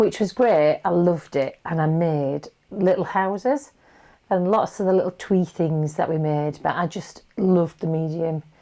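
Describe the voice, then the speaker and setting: Against a quiet background, a woman with a Yorkshire accent speaks at a moderate pace in a fairly low, dark and mellow voice with ordinary pitch variation. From Yorkshire, England. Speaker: potter. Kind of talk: interview answer and demonstration.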